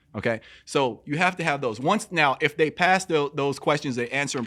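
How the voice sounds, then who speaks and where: Loud and energetic, a man speaks at a fairly quick pace in a bright, sharp tone, fairly high in pitch, with ordinary pitch variation. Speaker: personal trainer. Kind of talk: casual chat.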